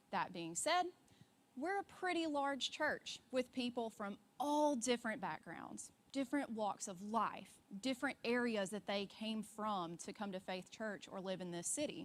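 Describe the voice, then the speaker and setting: Her pitch swings very widely as a woman speaks with a Deep South accent. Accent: Southern US, deep South. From US South, Alabama. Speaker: church ministry worker, conference speaker. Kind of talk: conference talk.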